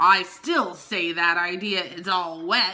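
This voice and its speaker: A woman mumbles in a put-on character voice, rumbling at a medium pitch and a fairly slow pace. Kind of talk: dismissive. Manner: mumbled, grumbling.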